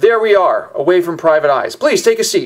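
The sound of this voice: A man performs a put-on character voice at an extremely high pitch. He moves at a fairly quick pace.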